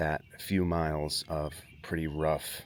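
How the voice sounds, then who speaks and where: A soft-spoken man with a very deep, low pitch, flat monotone delivery, and a very slow pace. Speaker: vlogger. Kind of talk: casual vlog. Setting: outdoors at campsite. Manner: hesitant, filler-heavy.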